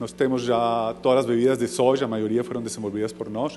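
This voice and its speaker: A man talks at a fairly quick pace in a medium pitch, with ordinary pitch variation and music playing in the background. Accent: non-native. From foreign, not Brazilian. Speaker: entrepreneur. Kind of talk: business pitch. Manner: halting.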